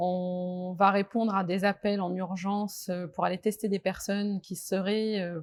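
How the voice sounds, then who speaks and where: A woman is talking. Her voice has a medium pitch. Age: 40s. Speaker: nurse. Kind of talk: testimony. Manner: hesitant, many fillers.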